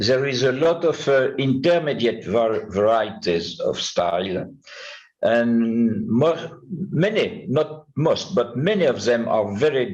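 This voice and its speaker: The voice has a French accent and very wide pitch swings, at a fairly slow pace. Audible room echo surrounds it. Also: man. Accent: French accent, self-described poor English. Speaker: numismatist, conference speaker. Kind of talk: conference talk. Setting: conference with audience. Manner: halting, many hesitations.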